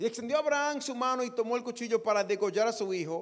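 A man's voice with very wide pitch swings, over a quiet background. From Dominican Republic. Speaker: pastor. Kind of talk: sermon. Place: church. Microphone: handheld.

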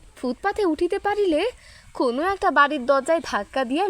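This woman's voice sits high. Her pitch swings very widely. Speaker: audiobook narrator. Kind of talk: story reading aloud.

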